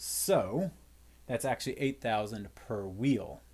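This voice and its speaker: Very clean recording, silent background. A man at a medium pitch speaks with vocal fry. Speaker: physics teacher. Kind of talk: lecture. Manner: fast; casual, with fillers.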